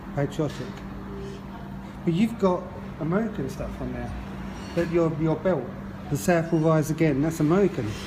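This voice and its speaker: A man's fairly high voice with ordinary pitch variation and long, frequent pauses, over music in the background. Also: moderate pace. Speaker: Mod scooter rider. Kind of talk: casual interview questions.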